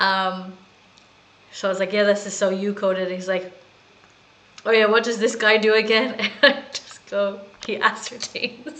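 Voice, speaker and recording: This voice has an American accent and a moderate pace, with fairly even intonation. Long, frequent pauses break it up, and noticeable background noise is present. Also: woman, medium pitch for a woman. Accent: people say she has an American. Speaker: gaming streamer. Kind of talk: casual gameplay commentary.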